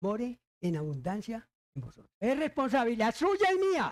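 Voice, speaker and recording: In a dry, close sound with no echo, a man with an extremely high pitch speaks at a fairly slow pace with very wide pitch swings. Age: 80s+. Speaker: pastor. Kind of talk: sermon.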